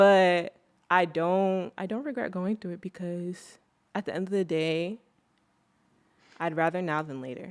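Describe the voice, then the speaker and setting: In an American accent, a woman speaks at a fairly slow pace with a fairly low pitch, long, frequent pauses and big swings in loudness, on a very clean recording with a silent background. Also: ordinary pitch variation. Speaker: podcast host. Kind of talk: casual chat. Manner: outspoken.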